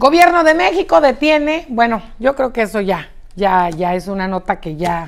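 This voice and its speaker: A woman's animated tone at a fairly slow pace, with very wide pitch swings. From Mexico, Chihuahua. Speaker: news presenter. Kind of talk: live news show with commentary. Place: studio.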